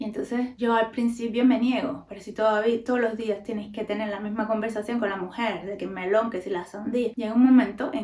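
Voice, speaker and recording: A woman with a Cuban accent, fairly high pitch and a fairly quick pace. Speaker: podcaster. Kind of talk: casual talk to camera.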